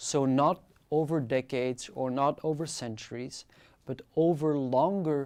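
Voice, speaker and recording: Someone speaks in a French accent at a very slow pace. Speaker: lecturer. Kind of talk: lecture.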